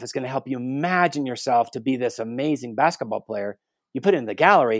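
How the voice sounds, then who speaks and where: At a fairly quick pace, a man with an American accent speaks at a medium pitch in an unremarkable speaking voice. The sound is dry and close with no echo, a very clean recording with a silent background. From Guatemala City, raised as missionary kid, later US. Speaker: theology professor and author. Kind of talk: interview.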